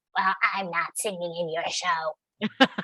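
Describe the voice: This is a put-on character voice, raspy and at a middle pitch. It moves at a fairly slow pace.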